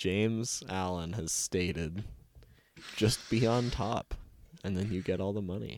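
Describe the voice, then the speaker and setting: A man's fairly low voice at a fairly slow pace, with long, frequent pauses and ordinary pitch variation. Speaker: game master and podcast host. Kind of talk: casual tabletop roleplaying storytelling with banter.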